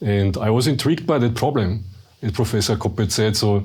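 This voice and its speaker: Somewhat breathy, a man's voice sits at a fairly low pitch. He talks at a fairly quick pace with fairly even intonation. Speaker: research director. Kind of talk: panel interview.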